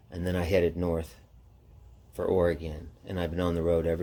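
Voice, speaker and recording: A man's very deep, low voice with a dark, mellow tone and an American accent, with audible room echo. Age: 60s. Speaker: motorcycle traveler vlogger. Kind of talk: casual personal storytelling monologue. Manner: casual, halting with fillers.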